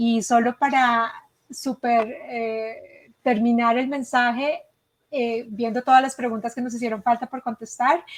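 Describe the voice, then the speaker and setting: In a Colombian accent, a woman speaks at a fairly slow pace and a high pitch, her intonation monotone and flat. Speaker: education consultant. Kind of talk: webinar presentation. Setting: live online session.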